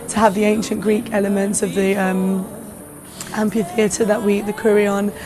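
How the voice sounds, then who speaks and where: Noticeable background noise sits behind a woman's voice of medium pitch. She speaks fairly quickly with fairly even intonation. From London. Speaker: singer-songwriter. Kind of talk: interview answer.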